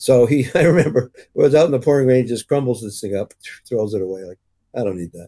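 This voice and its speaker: In a Canadian accent, a man at a medium pitch speaks with lively intonation and a dark, mellow tone, the sound dry and close with no echo. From English Canada. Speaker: cinematographer. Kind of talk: interview, career anecdotes.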